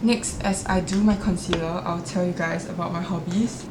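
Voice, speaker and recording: A woman talks at a moderate pace with audible room echo. Noticeable background noise runs under her voice. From Singapore. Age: 20s. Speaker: vlogger. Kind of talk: casual chat. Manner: chatty, uses many fillers.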